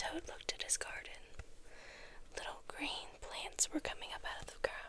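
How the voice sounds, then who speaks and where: Whispering against noticeable background noise. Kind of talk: children's story reading. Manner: whispered.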